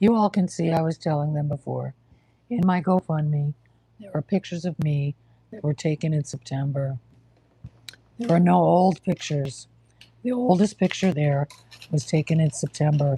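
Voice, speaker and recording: A woman with an American accent speaks at a moderate pace in a very deep, low voice, her dark, mellow tone somewhat breathy, with ordinary pitch variation, long and frequent pauses, and a dry, close sound free of echo. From New York. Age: 60s. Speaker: livestreamer with cancer. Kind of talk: casual livestream chat. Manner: halting.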